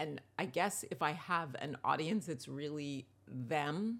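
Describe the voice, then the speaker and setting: The voice carries vocal fry at a fairly slow pace. It is captured in a very clean recording with a silent background. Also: woman. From New York. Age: 60s. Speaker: television writer and author. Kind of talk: interview conversation.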